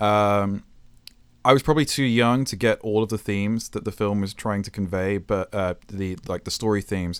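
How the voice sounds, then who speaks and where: On a very clean recording with a silent background, a man with a British accent speaks at a fairly low pitch with fairly even intonation. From England. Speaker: video game and film composer. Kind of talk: interview conversation. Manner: hesitant, many fillers and restarts.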